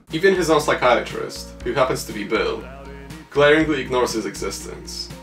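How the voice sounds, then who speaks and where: A man speaks at a fairly quick pace. Behind him, music is playing. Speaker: film reviewer. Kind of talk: film analysis narration. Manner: monotone.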